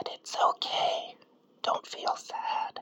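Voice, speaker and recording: Whispering at a very slow pace, with noticeable background noise. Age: middle-aged. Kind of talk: ASMR whisper to camera. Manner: whispered.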